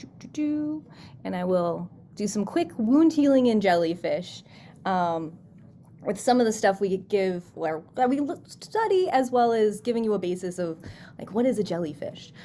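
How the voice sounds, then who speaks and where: A woman's dark, mellow voice at a moderate pace, with very wide pitch swings, big swings in loudness and light background noise. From US Midwest, Chicago suburbs; Illinois. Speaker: scientist, postdoc researcher. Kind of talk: science talk for students. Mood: friendly, upbeat. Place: home room.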